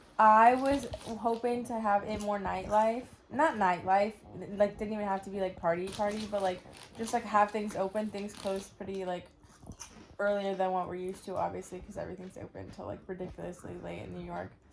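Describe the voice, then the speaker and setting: A woman at medium pitch and a fairly quick pace, animated in tone with big swings in loudness, over noticeable background noise. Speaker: travel vlogger. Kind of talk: casual chat.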